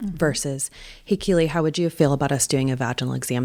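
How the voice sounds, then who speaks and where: A woman's very deep, low voice at a very fast pace, in a confident tone. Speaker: birth doula. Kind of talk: interview answer. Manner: confident, outspoken, fiery.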